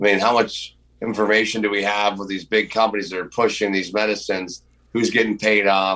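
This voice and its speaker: A man with a fairly low pitch and monotone, flat intonation at a fairly quick pace, on a very clean recording with a silent background. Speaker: roofer and freedom movement activist. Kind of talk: casual chat. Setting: podcast interview. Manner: loud, outspoken.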